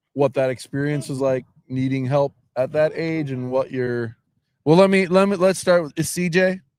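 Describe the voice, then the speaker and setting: A man speaks at a moderate pace with ordinary pitch variation and a fairly high pitch. It is an ordinary speaking voice, with a dry, close sound with no echo. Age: 40s. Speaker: CEO of a homeless shelter, livestream host. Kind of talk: casual interview. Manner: friendly, casual.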